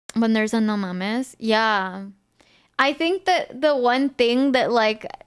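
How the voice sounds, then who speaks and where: Fairly slow, fairly high-pitched speech from a woman with lively intonation, on a very clean recording with a silent background. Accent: Spanish. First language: Spanish. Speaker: streamer. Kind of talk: casual chat.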